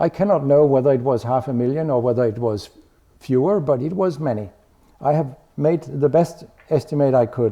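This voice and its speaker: With a Danish accent, a man speaks fairly quickly at a fairly high pitch and with ordinary pitch variation. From Denmark. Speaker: medical researcher. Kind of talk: lecture.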